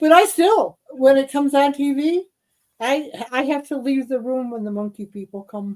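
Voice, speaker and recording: Intonation is lively, the pace moderate, and the loudness swings widely. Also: woman, high pitch for a woman. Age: 70s. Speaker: podcast co-host. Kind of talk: casual chat. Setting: live stream. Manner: halting.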